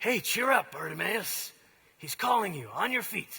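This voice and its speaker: This put-on character voice sits at a fairly high pitch. It sounds raspy. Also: moderate pace. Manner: fake-friendly, insincere.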